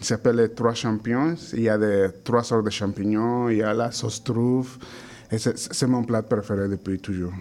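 Fairly even intonation at a fairly slow pace in a Spanish accent. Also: man. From Mexico. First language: Spanish (speaking French). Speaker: chef. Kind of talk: interview.

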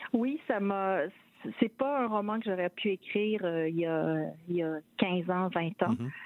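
A woman with an ordinary speaking voice, medium pitch, lively intonation and a fairly slow pace. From Quebec City. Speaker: novelist. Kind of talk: interview. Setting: phone call.

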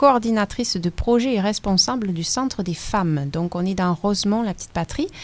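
A woman talks at a moderate pace, her pitch medium. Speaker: radio host. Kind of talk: radio interview.

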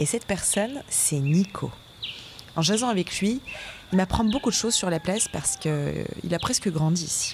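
Over noticeable background noise, a woman speaks at a moderate pace with lively intonation and long, frequent pauses. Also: medium pitch for a woman. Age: 20s. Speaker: radio documentary host. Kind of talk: narrated radio documentary.

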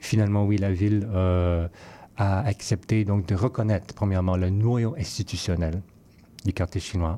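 Over a very clean recording with a silent background, a man speaks fairly slowly in a fairly low pitch. His tone is dark and mellow, with fairly even intonation. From Vancouver, Canada (Chinese-Canadian, fourth generation). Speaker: curator and musician. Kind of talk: interview.

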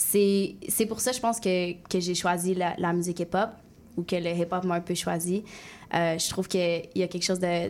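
A woman speaks at a fairly slow pace. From Quebec City, Limoilou. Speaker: singer and rapper. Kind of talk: radio interview.

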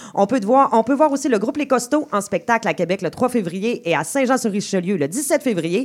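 A woman speaks in a fairly high pitch, her voice swinging very widely up and down. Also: fairly quick pace, hardly any pauses. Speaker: radio show host. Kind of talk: radio hosting.

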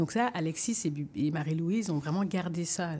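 On a very clean recording with a silent background, a woman speaks at a fairly low pitch and a moderate pace, somewhat breathy, with a dark, mellow tone and ordinary pitch variation. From Belgium, Congolese family. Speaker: theatre artist. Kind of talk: radio interview.

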